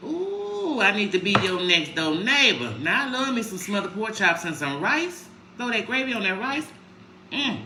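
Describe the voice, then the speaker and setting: A woman speaks loudly at a moderate pace and medium pitch, her voice swinging very widely in pitch, with audible room echo and noticeable background noise. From Chicago, US Midwest. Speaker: lifestyle vlogger. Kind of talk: casual livestream chat. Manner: mellow.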